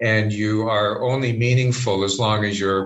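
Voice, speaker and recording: An unremarkable speaking voice from a man with a Canadian accent, medium in pitch, with fairly even intonation at a moderate pace. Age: 50s. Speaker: spiritual director. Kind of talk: interview conversation.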